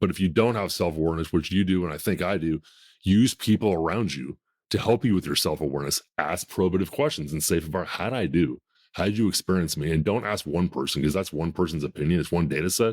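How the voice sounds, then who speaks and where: A man with a very deep, low voice speaks at a very fast pace, his pitch varying in an ordinary way. The recording is very clean, with a silent background and a dry, close sound with no echo. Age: 50s. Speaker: podcast host. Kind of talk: casual chat.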